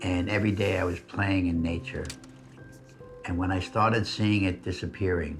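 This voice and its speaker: With music in the background, a man with a New York accent and a very deep, low pitch speaks at a moderate pace with fairly even intonation and long, frequent pauses. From New York City, Queens. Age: 80s+. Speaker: conservationist. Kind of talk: documentary interview answer.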